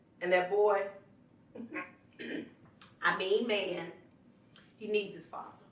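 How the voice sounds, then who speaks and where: The background has noticeable noise. A woman talks at a fairly slow pace. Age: 40s. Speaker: spoken word artist. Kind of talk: spoken word letter to younger self. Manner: casual, sassy.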